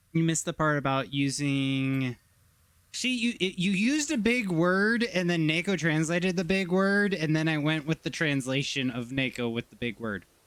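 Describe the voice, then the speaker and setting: A man with a plain, everyday voice speaks at a moderate pace, fairly high in pitch and lively in intonation. The recording is very clean, with a silent background. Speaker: streamer. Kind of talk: casual chat.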